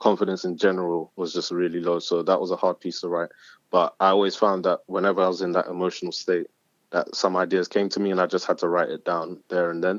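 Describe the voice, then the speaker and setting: Very fast delivery with monotone, flat intonation. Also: man, very deep, low pitch for a man. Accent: London. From South London. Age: 20s. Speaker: spoken word artist. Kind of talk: casual interview. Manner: hesitant, many fillers.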